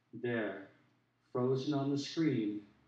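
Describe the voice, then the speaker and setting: With fairly even intonation and a fairly slow pace, a man with an American accent talks amid audible room echo. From US Pacific Northwest, Portland Oregon. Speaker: poet. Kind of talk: poetry reading. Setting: stage with audience.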